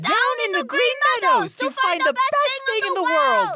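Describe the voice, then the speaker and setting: The voice is a put-on character. It sits at an extremely high pitch. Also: moderate pace. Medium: audio drama.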